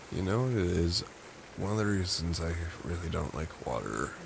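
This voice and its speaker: A man's very deep, low voice with very wide pitch swings, over noticeable background noise. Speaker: ASMR roleplay creator. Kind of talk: boyfriend comfort roleplay. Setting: home recording, low-quality mic. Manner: soft-spoken, slow.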